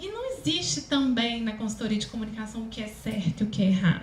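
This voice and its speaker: A woman with a Minas Gerais accent, ordinary pitch variation and audible room echo. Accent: mineiro. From Minas Gerais, Brazil. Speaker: speech therapist and communication consultant. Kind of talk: lecture.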